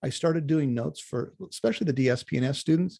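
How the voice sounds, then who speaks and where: A somewhat breathy man with a fairly high pitch, a dark, mellow tone and a very fast pace. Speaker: college instructor. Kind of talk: online class orientation. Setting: video call. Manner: animated.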